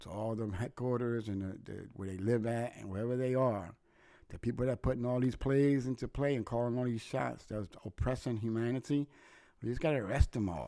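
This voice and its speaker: This man's tone is dark and mellow. The recording is very clean, with a silent background. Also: medium pitch for a man, fairly quick pace. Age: 60s. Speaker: podcast host. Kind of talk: political rant monologue. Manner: animated; repetitive stumbling.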